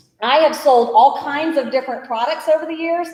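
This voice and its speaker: With noticeable background noise behind her, a woman speaks in an animated tone at a high pitch with ordinary pitch variation. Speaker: small business owner and event organizer. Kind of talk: business training presentation. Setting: room with live audience, livestreamed.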